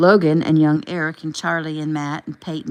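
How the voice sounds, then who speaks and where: A woman with a very deep, low pitch talks at a fairly quick pace in a monotone, flat intonation. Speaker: author reading own novel. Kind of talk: reading aloud.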